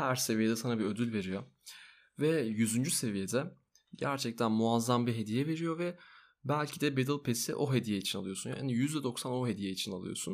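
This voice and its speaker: The man's speech has ordinary pitch variation. The recording is very clean, with a silent background. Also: moderate pace. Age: 20s. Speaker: podcast host. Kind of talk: casual chat. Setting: home recording at night. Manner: soft-spoken.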